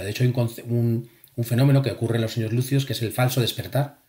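The voice is somewhat breathy, with fairly even intonation. The recording is very clean, with a silent background. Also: man. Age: 40s. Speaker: engineer and lucid dreaming author and instructor. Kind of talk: casual chat.

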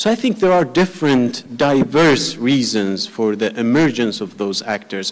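In a Persian accent, a man speaks with lively intonation. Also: quiet background. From Iran. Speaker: academic researcher. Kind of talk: panel discussion. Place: hall. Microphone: handheld.

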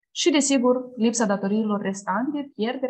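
Somewhat breathy speech at a moderate pace against a quiet background. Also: woman. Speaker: program coordinator. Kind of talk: online information session, presentation. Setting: video call. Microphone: webcam.

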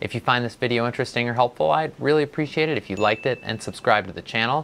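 Ordinary pitch variation marks the way this man talks. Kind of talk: educational explainer. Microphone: lapel.

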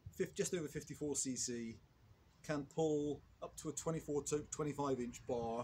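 Against light background noise, a man with a somewhat breathy voice talks at a moderate pace with fairly even intonation. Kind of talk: tutorial. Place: open country. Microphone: camera far.

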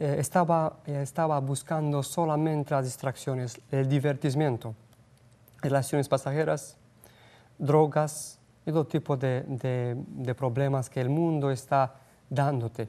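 A man's fairly high voice with a Romanian accent, a dark, mellow tone, fairly even intonation and a fairly slow pace. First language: Romanian (speaking Spanish). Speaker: missionary; guest. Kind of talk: interview. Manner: halting. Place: studio. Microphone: lapel.

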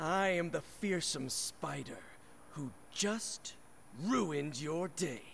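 Using a put-on character voice, a man speaks at a very slow pace over clear background noise. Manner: dramatic, menacing.

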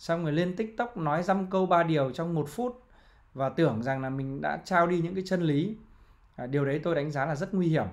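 The pace is fairly quick, with ordinary pitch variation. The background is quiet. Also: man, high pitch for a man. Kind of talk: commentary. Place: home room.

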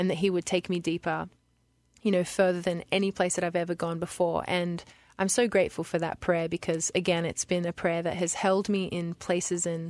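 In an Australian accent, a woman speaks at a fairly quick pace in a fairly low pitch with monotone, flat intonation, the sound dry and close with no echo on a very clean recording with a silent background. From Lismore, New South Wales, Australia. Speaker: worship singer. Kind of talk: radio interview answer.

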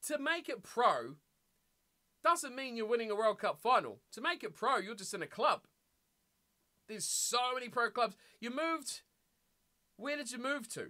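Animated in tone, the voice keeps a moderate pace but leaves long, frequent pauses. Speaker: gaming streamer. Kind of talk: casual livestream chat while playing a game. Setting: livestream, home studio. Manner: animated, chatty.

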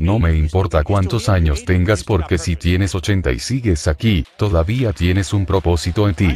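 A man's very deep, low voice, intense and dramatic, somewhat breathy, at a fairly slow pace, with a dry sound without echo and light background noise. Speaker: preacher. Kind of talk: fiery sermon with testimony, confronting the congregation. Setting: church, live preaching. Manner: intense, forceful, dramatic, animated storytelling. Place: church. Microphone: handheld.

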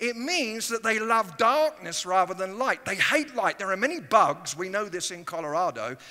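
Over a quiet background, a man with an English accent projects a raised, high-pitched voice that is bright and sharp, with very wide pitch swings. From England. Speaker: guest preacher. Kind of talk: sermon. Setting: church. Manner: animated. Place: church. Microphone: headset.

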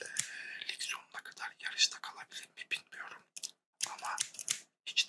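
A man whispers in a calm tone at a moderate pace, with long, frequent pauses and big swings in loudness. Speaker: ASMR barber roleplay performer. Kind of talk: ASMR roleplay, barber shop; ASMR roleplay chat. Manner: calm, friendly, soft. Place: home room. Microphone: studio mic.

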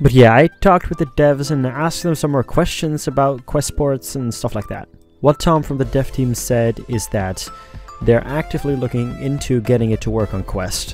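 Music plays behind a man who speaks at a moderate pace with ordinary pitch variation, the sound dry with no echo. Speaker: gaming youtuber. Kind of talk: commentary.

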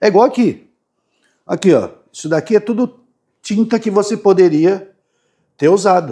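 At a moderate pace, a man talks in a high pitch with ordinary pitch variation and long, frequent pauses. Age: 50s. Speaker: YouTube DIY maker. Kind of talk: casual tutorial. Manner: halting, repetitive.

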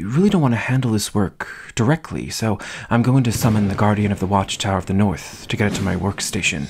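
A man's fairly low voice at a fairly quick pace, with lively intonation. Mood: dry, mock-serious.

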